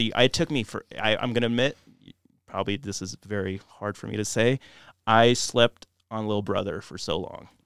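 Over a very clean recording with a silent background, a man talks in an ordinary speaking voice at medium pitch and moderate pace, with ordinary pitch variation, big swings in loudness and a dry, close sound with no echo. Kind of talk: casual podcast chat.

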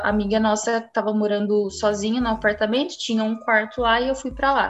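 A woman's fairly high, monotone and flat voice at a fairly quick pace. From Franca, São Paulo state, Brazil. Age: 20s. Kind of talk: personal testimony.

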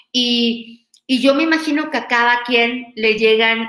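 In a room with audible echo, a woman talks very slowly at a fairly high pitch, her tone bright and sharp and her pitch variation ordinary. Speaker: podcast host and university lecturer. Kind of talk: talk to students. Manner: halting, many fillers.

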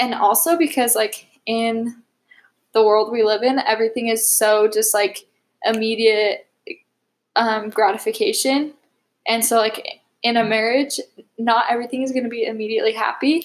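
Here is a plain, everyday voice at a moderate pace. Its intonation is fairly even. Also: woman, fairly high pitch for a woman. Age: 20s. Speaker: college student and dental assistant. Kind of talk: casual interview.

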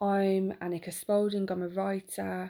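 This is a woman speaking. Her voice is medium in pitch, with a dark, mellow tone. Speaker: podcast host and writer. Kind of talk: unscripted solo monologue. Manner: halting, with fillers.

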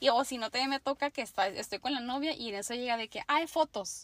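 A woman with an unremarkable speaking voice talks at a moderate pace with ordinary pitch variation. The sound is dry and close, without echo. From Mexico, Tijuana, Baja California. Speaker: makeup artist. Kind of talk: casual interview chat.

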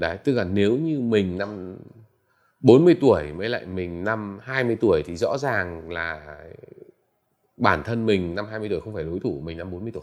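A man speaks at a fairly slow pace in a fairly low pitch, with lively intonation and big swings in loudness. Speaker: entrepreneur and tech investor. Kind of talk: interview. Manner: halting, many fillers.

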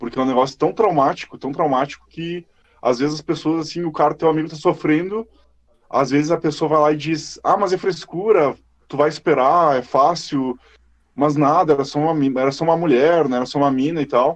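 A man with a fairly high pitch and an ordinary speaking voice, at a fairly quick pace with fairly even intonation. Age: 20s. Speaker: podcast host. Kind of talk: casual chat.

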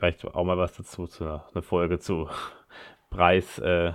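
With a very deep, low pitch, a man speaks in monotone, flat intonation, and the sound is dry and close with no echo. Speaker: podcast host. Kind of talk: solo podcast monologue. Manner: halting, many filler sounds.

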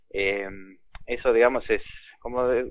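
A man is speaking. He keeps a moderate pace. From Argentina. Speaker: inventor of educational electronics kits. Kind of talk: interview. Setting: phone call.

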